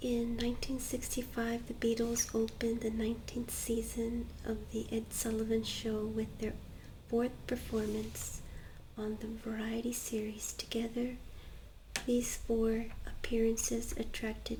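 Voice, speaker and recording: A soft-spoken voice comes at a fairly slow pace amid noticeable background noise. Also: woman. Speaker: ASMR creator. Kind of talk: ASMR soft-spoken page turning reading.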